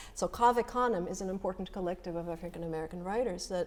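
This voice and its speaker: With a slight Russian accent, a woman of medium pitch and a dark, mellow tone talks at a fairly quick pace in fairly even intonation. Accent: slight Russian accent, comes out when nervous. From former Soviet Union. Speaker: poet. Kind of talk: panel discussion.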